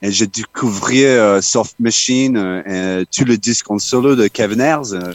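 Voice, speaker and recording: The speech moves at a very slow pace. There are hardly any pauses. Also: man, medium pitch for a man, ordinary pitch variation. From Australia, Townsville. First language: English (speaking French). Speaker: musician. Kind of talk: interview. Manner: halting.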